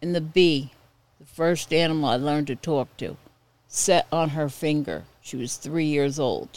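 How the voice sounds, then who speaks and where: Speaking at a fairly slow pace with an American accent, a woman has a very deep, low pitch and fairly even intonation. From Ramapo River area, New York. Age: old. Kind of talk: casual storytelling. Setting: her living room.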